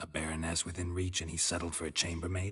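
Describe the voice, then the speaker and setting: A man's put-on character voice, very deep and low, deadpan and monotone with flat intonation, at a very fast pace. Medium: video game. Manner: terse, deadpan.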